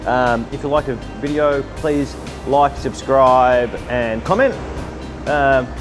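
Clear music sits in the background behind a man's voice. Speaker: food reviewer. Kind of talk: casual vlog chat. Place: street.

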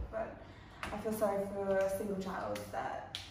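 A woman is speaking in a room with audible echo. Noticeable background noise is present too. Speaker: vlogger daughter. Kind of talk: casual vlog chat. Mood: playful, laughing. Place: home room. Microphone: camera far.

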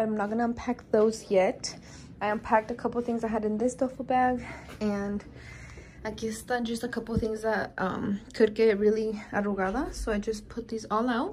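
Light background noise accompanies a woman talking at a fairly quick pace. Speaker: vlogger. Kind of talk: casual vlog chat. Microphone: phone near.

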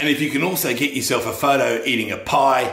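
A man's fairly quick speech with audible echo from the room. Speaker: comic playing a government spokesman. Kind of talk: satirical mock public-information address.

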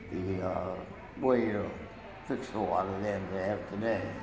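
A man speaks with a fairly low pitch in a flat monotone. Noticeable background noise sits under his voice. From Maine, USA. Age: 80s+. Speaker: grandfather telling life story. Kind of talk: interview answer. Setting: nursing home room. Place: hall. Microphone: phone near.

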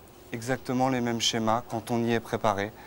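Over light background noise, a man speaks at a fairly quick pace with fairly even intonation. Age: 30s. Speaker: author of a memoir; guest. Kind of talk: TV talk show interview. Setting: outdoor TV set in Cannes. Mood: earnest, personal, emotional topic. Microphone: lapel.

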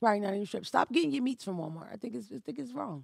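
A woman is speaking. The background is quiet. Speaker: podcast host. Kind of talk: casual podcast monologue. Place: studio. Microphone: studio mic.

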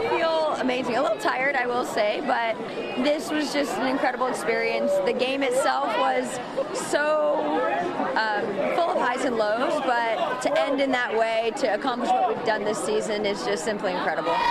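A woman speaking at a moderate pace, with crowd noise in the background. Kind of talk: interview answer. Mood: elated, excited. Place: street.

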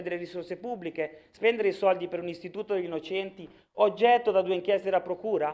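Over a quiet background, a man with a Sicilian accent talks at a very fast pace and a high pitch. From Sicily, Palermo; Sicily. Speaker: regional politician. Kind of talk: political speech in assembly. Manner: animated, forceful. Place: hall. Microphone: podium.

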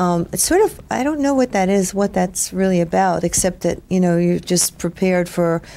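Over music in the background, a woman talks at a moderate pace in a fairly low voice. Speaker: interviewee. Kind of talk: interview answer. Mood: reflective, relaxed. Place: home room.

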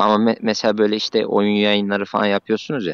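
A man speaks at a moderate pace. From Central Anatolia. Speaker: civil servant. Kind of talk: casual chat. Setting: voice chat. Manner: halting.

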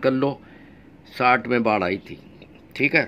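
The pace of this man's speech is moderate. He keeps his intonation fairly even. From Uttar Pradesh, India. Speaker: YouTube vlogger. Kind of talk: vlog monologue. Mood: earnest, insistent. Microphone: phone near.

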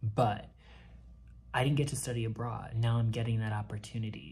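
Here a man's voice sounds somewhat breathy. His intonation stays fairly even. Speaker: flight attendant vlogger. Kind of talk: casual vlog chat. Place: home room. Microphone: phone near.

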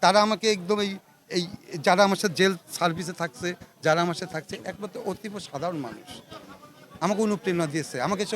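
A man speaks in a high pitch, his intonation rising and falling in an ordinary way. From Bangladesh, Pabna (Ishwardi). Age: 50s. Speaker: local politician. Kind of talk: press statement after prison release. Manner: halting.

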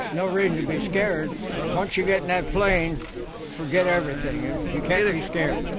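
Loud background noise surrounds a man with an American accent speaking at a moderate pace. The sound itself is dry, with no echo. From Ohio. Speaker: war veteran. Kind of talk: interview answer. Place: open country. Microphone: handheld.

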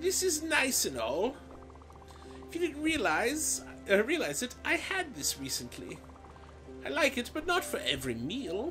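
Over clear music in the background, a woman uses a put-on character voice, speaking at a fairly slow pace with long, frequent pauses.

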